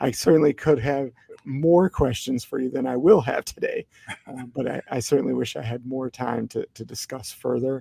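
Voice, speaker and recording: A quiet man's voice, dark and mellow in tone, with ordinary pitch variation and big swings in loudness. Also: medium pitch for a man, moderate pace, dry, close sound with no echo. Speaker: podcast host. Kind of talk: podcast interview; reading aloud a bio. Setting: library. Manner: quiet, hushed.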